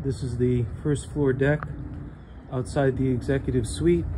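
A man talks while noticeable background noise runs underneath. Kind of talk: property walkthrough narration. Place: waterside. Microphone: phone near.

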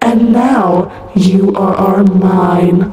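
In a put-on character voice at a middle pitch, the speaker talks amid strong echo. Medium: voice reel. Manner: stuttering, glitchy, creepy.

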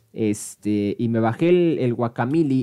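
A man at medium pitch with lively intonation and an animated tone against a quiet background. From Mexico. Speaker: gaming streamer and esports caster; gaming streamer. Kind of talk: live commentary. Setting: live stream. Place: home room. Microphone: headset.

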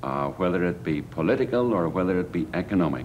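A man's voice with very wide pitch swings, against light background noise. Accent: Irish. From Ireland. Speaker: political activist. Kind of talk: documentary interview. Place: office.

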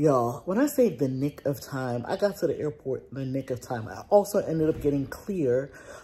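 A woman with a very deep, low pitch and a dark, mellow, somewhat breathy tone talks at a moderate pace with lively intonation. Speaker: lifestyle vlogger. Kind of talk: casual vlog chat. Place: home room. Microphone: phone near.

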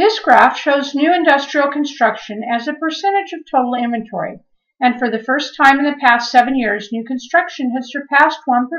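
Over a quiet background, a woman speaks at a moderate pace. Her intonation is lively. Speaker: real estate agent. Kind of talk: scripted narration. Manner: formal. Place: home room. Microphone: webcam.

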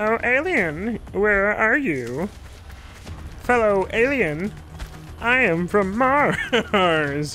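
Over clear music in the background, a fairly high put-on character voice speaks at a very slow pace with long, frequent pauses. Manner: playful, comical.

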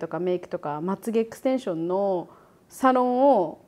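Her pitch swings very widely as the woman talks at a moderate pace. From Japan. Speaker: YouTuber and podcast host. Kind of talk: casual chat.

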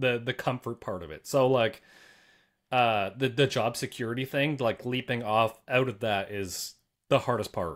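This man's voice sits at a medium pitch with ordinary variation, moving at a moderate pace over a quiet background. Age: 30s. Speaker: car YouTuber. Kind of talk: casual chat. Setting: video call. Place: home room.

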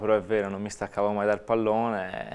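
A man talks at a fairly quick pace with a fairly low pitch. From Italy. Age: 20s. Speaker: footballer. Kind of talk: interview. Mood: happy, smiling, shy. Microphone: lapel.

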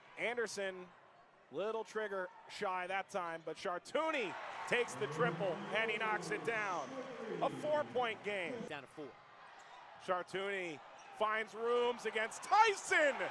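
A shouting man with a high pitch, animated tone and lively intonation, his voice raised and projected, at a fairly slow pace with long, frequent pauses, dry with no echo, over noticeable background noise. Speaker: basketball play-by-play announcer. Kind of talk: live basketball commentary, highlight reel. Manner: animated, rising to shouts on big shots. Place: stadium. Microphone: headset.

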